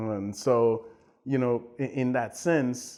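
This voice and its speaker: A man with a Haitian accent speaks in a dark, mellow tone. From Haiti, raised in Montreal. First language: Haitian Creole. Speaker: tech executive and entrepreneur. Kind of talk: interview. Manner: hesitant, many fillers.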